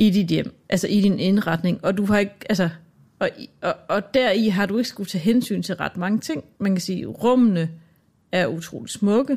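At a moderate pace, a woman with a somewhat breathy voice speaks at a medium pitch with ordinary pitch variation. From Denmark. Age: 40s. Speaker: radio producer. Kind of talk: casual chat. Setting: studio.

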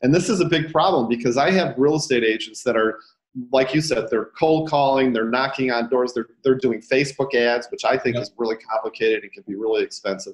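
A man speaks in a normal speaking voice with an American accent, at a medium pitch. His pace is fairly quick, and his pitch varies in an ordinary way. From Detroit, Michigan, US. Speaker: real estate agent and coach. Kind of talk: casual interview. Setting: video call.

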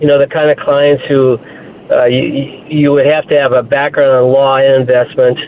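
Moderate pace against noticeable background noise. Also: man. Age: 60s. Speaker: caller, retired investment professional. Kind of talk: phone-in story. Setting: phone call.

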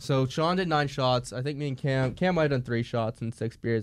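The recording is very clean, and the background is silent. An unremarkable speaking voice goes at a moderate pace, its pitch varying in an ordinary way. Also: man. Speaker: co-host. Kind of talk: casual chat. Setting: studio.

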